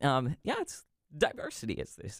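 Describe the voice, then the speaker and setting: Recorded very cleanly against a silent background, a man with an ordinary speaking voice and an American accent talks at a moderate pace with a fairly high pitch. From Pennsylvania. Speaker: congressional staffer. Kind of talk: casual chat.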